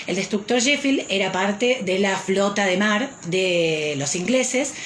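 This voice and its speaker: Very slowly and with very wide pitch swings, a woman speaks in a space with audible room echo and noticeable background noise. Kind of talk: live stream talk. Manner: frequent hesitations.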